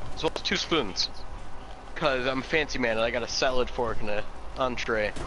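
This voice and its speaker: Recorded dry with no echo but with noticeable background noise, a man talks at a moderate pace in a medium-pitched voice with lively intonation. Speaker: gamer. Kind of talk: casual gaming chat. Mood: joking, relaxed.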